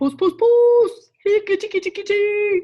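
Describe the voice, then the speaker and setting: Squeaky and extremely high, the put-on character voice unfolds at a fairly slow pace. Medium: read story. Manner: anxious.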